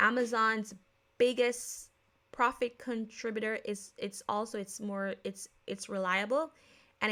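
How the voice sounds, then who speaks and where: With an American accent, a woman speaks fairly slowly in a fairly high, bright, sharp voice with fairly even intonation on a very clean recording with a silent background. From Jamaica. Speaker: podcast host. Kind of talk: casual podcast talk. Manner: casual, with many fillers and self-corrections.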